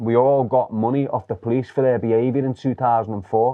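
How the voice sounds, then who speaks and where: A man in a Liverpool accent at a moderate pace, with fairly even intonation. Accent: Liverpool (Scouse). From Liverpool, England. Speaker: former gang member. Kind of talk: interview storytelling.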